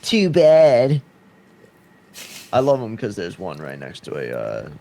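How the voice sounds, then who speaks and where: A man with a Boston accent at a moderate pace. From Massachusetts, US. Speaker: podcast co-host. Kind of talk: casual chat.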